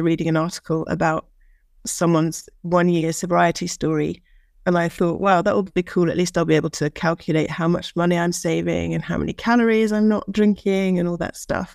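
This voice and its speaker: A woman with an East Anglian accent, fairly low in pitch and fairly quick, her intonation fairly even, on a very clean recording with a silent background. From England, Norwich. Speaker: guest in recovery. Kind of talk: casual panel chat.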